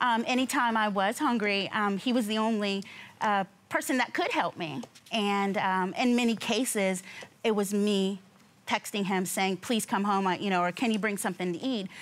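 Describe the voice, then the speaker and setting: A woman speaks at a moderate pace with ordinary pitch variation and very even loudness. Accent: American. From US West Coast, San Diego; California. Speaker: litigant on a TV court show. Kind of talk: testimony. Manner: halting. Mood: earnest, somewhat aggrieved. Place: studio. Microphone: lapel.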